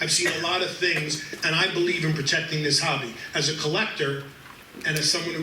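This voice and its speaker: Speaking fairly quickly with a New York accent, a fairly high-pitched man keeps a fairly even intonation amid noticeable background noise and audible room echo. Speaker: sports memorabilia company executive and collector. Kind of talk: panel talk at collectors event.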